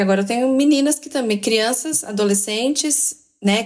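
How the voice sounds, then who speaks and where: A woman with a fairly high pitch and ordinary pitch variation talks at a moderate pace. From Brazil, Minas Gerais. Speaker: educational counselor. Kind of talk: casual podcast conversation.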